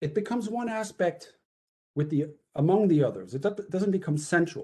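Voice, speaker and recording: A man speaks with lively intonation and a dark, mellow tone that is somewhat breathy. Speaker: author presenting his book. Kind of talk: academic talk. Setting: webinar video call. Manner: fast.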